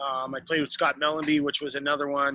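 With an Ontario accent, a man speaks at a moderate pace in a bright, sharp tone and fairly high pitch, recorded with a dry, close sound with no echo against a quiet background. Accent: Canadian (Ontario). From Canada, downtown Toronto. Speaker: retired professional ice hockey player. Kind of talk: interview. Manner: hesitant, many fillers.

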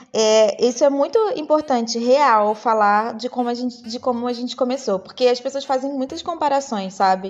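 The speech moves at a moderate pace with hardly any pauses. Noticeable background noise runs underneath. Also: woman, high pitch for a woman, ordinary pitch variation. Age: 30s. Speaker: fashion stylist and image consultant. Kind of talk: casual chat.

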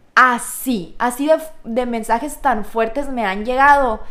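The speaker is a woman. Her pitch is high. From Mexico, Sonora (Hermosillo). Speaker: teacher. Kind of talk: testimony.

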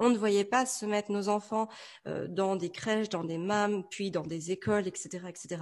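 A woman with an ordinary speaking voice, medium-pitched and fairly even in intonation, at a fairly slow pace. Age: 30s. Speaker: entrepreneur and mother. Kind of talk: interview.

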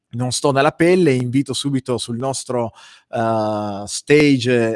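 A man at a very slow pace, medium in pitch with ordinary pitch variation, in a dry, close sound with no echo. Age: middle-aged. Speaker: web show host and life coach. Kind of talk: casual interview chat.

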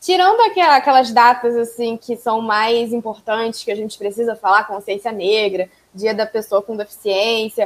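This is a normal speaking voice from a woman, fairly high in pitch, with ordinary pitch variation. She keeps a moderate pace with hardly any pauses. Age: 20s. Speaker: pedagogy student and podcaster. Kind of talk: casual chat.

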